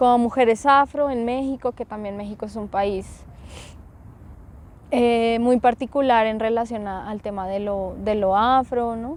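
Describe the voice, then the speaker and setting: A woman talks at a fairly slow pace with a fairly high pitch. Her intonation stays fairly even. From Colombia, Bogotá. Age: 30s. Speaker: activist and podcaster. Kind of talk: interview. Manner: hesitant, many fillers.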